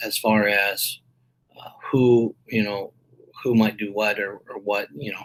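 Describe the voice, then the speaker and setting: Putting on a character voice, a man mumbles at a fairly slow pace in a fairly low pitch. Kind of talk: casual, meeting-style. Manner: mumbling.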